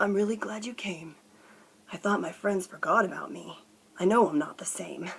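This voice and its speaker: A woman's put-on character voice, croaky and medium in pitch, with lively intonation, big swings in loudness and a moderate pace. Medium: read story.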